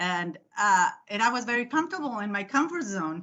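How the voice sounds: A woman talks at a fairly quick pace and medium pitch with big pitch swings. Her tone is fairly bright.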